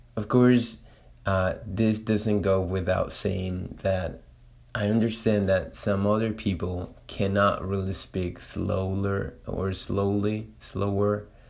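Audible room echo surrounds a very slow, monotone, flat delivery in a Spanish accent. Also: man, fairly low pitch for a man. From Latin America. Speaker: Spanish teacher and podcaster. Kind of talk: solo monologue podcast. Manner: halting, many fillers.

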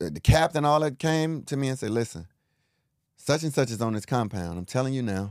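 A man speaks at a fairly quick pace with lively intonation and a medium pitch, on a very clean recording with a silent background. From Chicago, West Side. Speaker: author and speaker, former prisoner. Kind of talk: interview storytelling.

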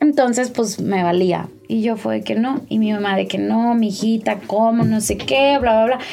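Her voice sits fairly high in pitch, with a dark, mellow tone. The woman talks at a fairly slow pace with ordinary pitch variation. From Mexico. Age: 20s. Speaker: image consultant and digital media director. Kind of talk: personal testimony in casual interview.

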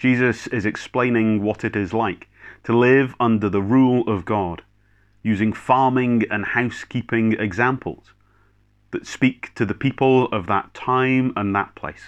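Against a quiet background, a man with a Scottish accent speaks at a fairly slow pace with a medium pitch and fairly even intonation. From Scotland, Clackmannanshire/Kinross area. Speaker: minister. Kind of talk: sermon. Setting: recorded video service.

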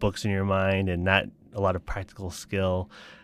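In a very clean recording with a silent background, a man with an American accent talks at a moderate pace in a fairly low pitch. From Colorado and Taiwan. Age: 30s. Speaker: startup founder. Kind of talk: interview.

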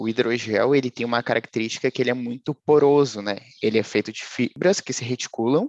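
An ordinary speaking voice moves at a fairly quick pace with fairly even intonation, recorded with a dry, close sound and no echo. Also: man, medium pitch for a man. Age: 20s. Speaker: data science student and software tester. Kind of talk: casual interview.

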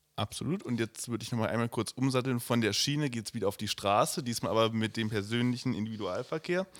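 A man at medium pitch, very fast pace, hardly any pauses and ordinary pitch variation, on a very clean recording with a silent background. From Germany, Oranienburg. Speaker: podcast co-host, youth party member. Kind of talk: interview.

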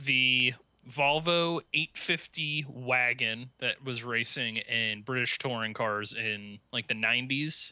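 This man speaks at a very slow pace with a medium pitch. His intonation is fairly even, and he has an American accent. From Cincinnati, Ohio. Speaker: podcast co-host. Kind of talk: casual chat.

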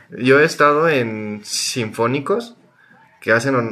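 At a very slow pace, a man with a Mexican accent speaks at a medium pitch. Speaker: podcast co-host. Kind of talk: casual chat. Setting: recorded remotely.

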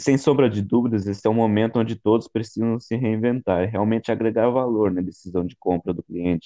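With hardly any pauses, a man uses an ordinary speaking voice at a medium pitch with fairly even intonation. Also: fairly quick pace. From Brazil, São Paulo state interior. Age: 20s. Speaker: logistics student. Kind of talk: student podcast presentation.

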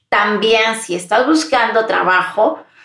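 This woman talks at a fairly slow pace with a fairly high pitch. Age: 40s. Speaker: podcast host and employability mentor. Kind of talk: solo podcast monologue. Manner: warm, intimate.

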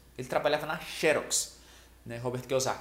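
A man talks over noticeable background noise. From Brazil, small rural village. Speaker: sales trainer, video creator. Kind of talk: motivational talk to camera. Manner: casual, conversational.

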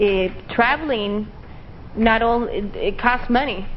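A woman's ordinary speaking voice with an American accent, fairly even intonation and a fairly slow pace. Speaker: English teacher. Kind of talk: interview.

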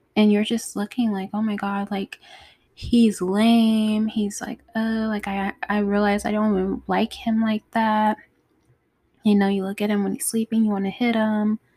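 A woman speaks at a moderate pace in a calm, dark, mellow tone, her fairly high voice somewhat breathy. The intonation is monotone and flat, and the sound is dry and close with no echo. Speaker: podcast host. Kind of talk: casual monologue. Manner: calm, mellow.

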